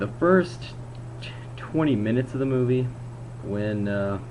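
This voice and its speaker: Over noticeable background noise and audible room echo, a man with a fairly low pitch speaks at a fairly slow pace. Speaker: video blogger reviewing movies. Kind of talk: casual video review monologue. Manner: slurred, drawn-out word pronunciation; halting, self-correcting.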